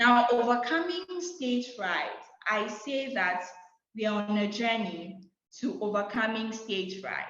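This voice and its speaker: A woman's fairly high, confident voice at a fairly slow pace with ordinary pitch variation, amid audible room echo. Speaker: public speaking coach. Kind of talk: online masterclass talk. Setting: video call. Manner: loud, confident.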